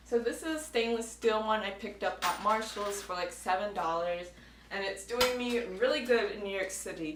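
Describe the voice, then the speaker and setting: The pitch varies in an ordinary way. There is audible room echo and noticeable background noise. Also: woman, medium pitch for a woman, moderate pace. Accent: American. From United States. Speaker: travel vlogger. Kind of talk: advice vlog talking to camera. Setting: indoors at home, air conditioning off.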